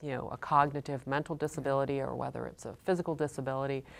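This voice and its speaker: The voice carries vocal fry and races at a very fast pace. The recording is very clean, with a silent background. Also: woman. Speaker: nurse practitioner interviewer. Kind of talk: interview questions.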